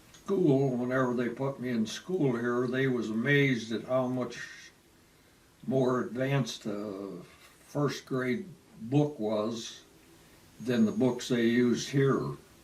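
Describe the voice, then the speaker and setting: Speaking in an American accent, a man moves at a very slow pace with long, frequent pauses. His ordinary pitch variation comes through audible room echo. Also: medium pitch for a man. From Michigan, US Midwest (Wayne, near Detroit). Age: 80s+. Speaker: retiree telling his life story. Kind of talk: oral history interview. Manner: halting, with many fillers.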